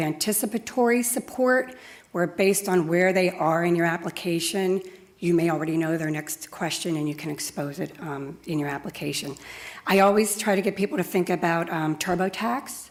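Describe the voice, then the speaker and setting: A woman speaks in a plain, everyday voice at a moderate pace. Her pitch is fairly low, with ordinary pitch variation. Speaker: software customer support executive. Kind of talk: conference talk.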